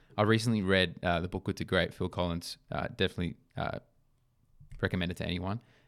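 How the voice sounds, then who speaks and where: Speaking at a fairly quick pace with ordinary pitch variation, a man with an Australian accent has a very deep, low pitch, on a very clean recording with a silent background. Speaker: podcast co-host, sporting brand founder. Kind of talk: casual chat.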